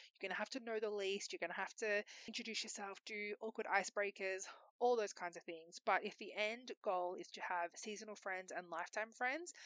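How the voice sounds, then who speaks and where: At a very fast pace, a woman with an Australian accent talks at medium pitch with ordinary pitch variation. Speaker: podcast host. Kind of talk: casual solo monologue. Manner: loud.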